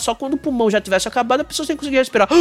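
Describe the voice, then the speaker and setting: Set against noticeable background noise in a dry, close sound with no echo, a man speaks at an extremely high pitch with lively intonation. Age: 40s. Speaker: podcast host. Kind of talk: casual chat.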